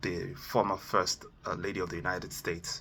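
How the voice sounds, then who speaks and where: The man here has a bright, sharp tone. He speaks at a moderate pace. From Nigeria. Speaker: motivational speaker. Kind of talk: motivational talk. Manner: hesitant, many fillers.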